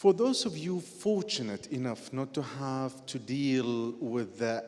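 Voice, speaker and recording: A man with an Arabic accent speaks at medium pitch and a fairly slow pace. His pitch swings very widely, with audible room echo. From Iraq. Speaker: journalist and writer. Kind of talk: on-stage conversation. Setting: stage with audience.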